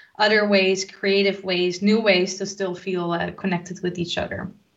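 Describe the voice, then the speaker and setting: A woman speaks at a moderate pace in a medium pitch. Her intonation is monotone and flat. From Netherlands. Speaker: tech community organizer. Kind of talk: casual interview.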